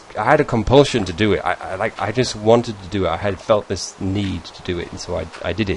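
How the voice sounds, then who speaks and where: Noticeable background noise sits behind a man with a fairly low voice. He speaks at a moderate pace with ordinary pitch variation. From northern England. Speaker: gaming YouTuber. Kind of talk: casual Q&A video monologue. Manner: halting, many fillers and restarts.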